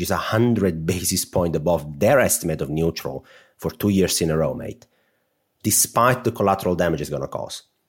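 A man with an Italian accent speaks at a moderate pace in a very deep, low voice. The recording is very clean with a silent background. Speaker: podcast co-host.

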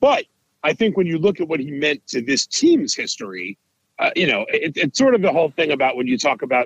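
Heard with a dry, close sound and no echo, a man with an American accent talks at a fairly quick pace. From New York. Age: 40s. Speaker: baseball writer. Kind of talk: casual chat.

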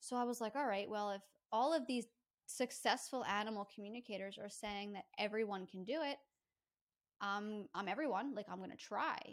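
A woman with a fairly high pitch uses a normal speaking voice, keeping a moderate pace and ordinary pitch variation. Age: 30s. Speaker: pet psychic. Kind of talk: casual chat.

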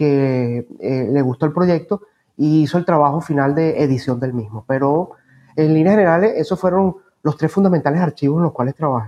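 Fairly quick and fairly high-pitched, a man speaks with a dark, mellow tone and ordinary pitch variation in a dry, close sound with no echo. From Venezuela, Caracas area (Los Teques). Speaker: historian and professor. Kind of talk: interview. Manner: halting, repeats words.

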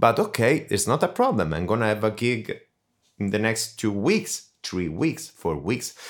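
Speaking at a medium pitch and moderate pace with lively intonation, a man with an Italian accent is heard in a very clean recording against a silent background. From Italy. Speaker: death metal vocalist and voice doctor. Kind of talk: interview. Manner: hesitant, many fillers.

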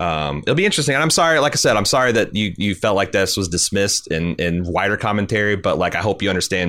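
A man with an American accent, a bright, sharp tone and a fairly quick pace, on a very clean recording with a silent background. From US. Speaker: podcast host. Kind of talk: casual chat.

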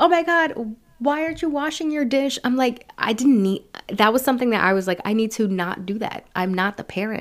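With an American accent and an ordinary speaking voice, a woman speaks at a fairly slow pace with lively intonation in a very clean recording with a silent background. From San Francisco Bay Area, California; Mexican parents. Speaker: public speaker and podcast host. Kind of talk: casual interview chat.

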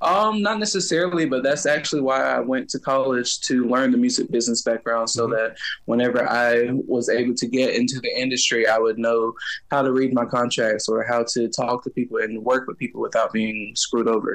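A man has a normal speaking voice, medium in pitch with ordinary pitch variation. His pace is fairly quick. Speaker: singer and music teacher. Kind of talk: interview.

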